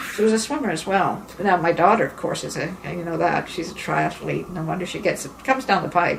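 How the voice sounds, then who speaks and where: A woman talks at a fairly quick pace with a fairly low pitch and ordinary pitch variation. Noticeable background noise is present. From England, then Montreal. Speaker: artist and singer. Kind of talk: interview. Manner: halting.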